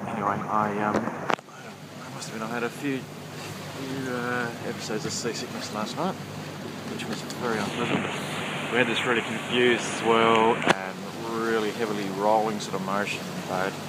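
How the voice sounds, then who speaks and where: Someone speaks at a moderate pace in a dry sound with no echo, over loud background noise. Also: man. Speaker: sailor. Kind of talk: casual video diary to camera. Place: boat. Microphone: phone near.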